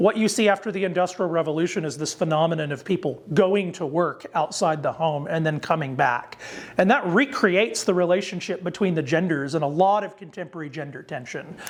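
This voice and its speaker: Amid noticeable background noise, a man with a high pitch talks at a fairly quick pace with hardly any pauses. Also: ordinary pitch variation. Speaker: theologian lecturer. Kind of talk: lecture. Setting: lecture to ministers. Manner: fast; halting with fillers and restarts.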